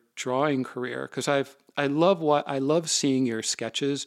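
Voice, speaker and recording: On a very clean recording with a silent background, a man speaks in a normal speaking voice, fairly high in pitch with ordinary pitch variation. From US Midwest, Minneapolis. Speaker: podcast host and author. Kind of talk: interview.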